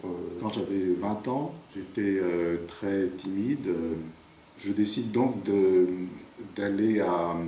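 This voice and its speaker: Audible room echo surrounds a man's voice. His pitch is fairly low, with ordinary pitch variation. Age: 50s. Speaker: interviewee with a stutter. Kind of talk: documentary interview. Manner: halting, with repetitions and blocks; hesitant, many fillers.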